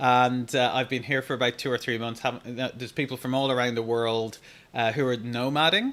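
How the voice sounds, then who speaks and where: A man's medium-pitched voice with an Irish accent at a fairly quick pace. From Ireland. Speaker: digital marketing coach. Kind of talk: live Q&A stream. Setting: live stream. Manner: animated.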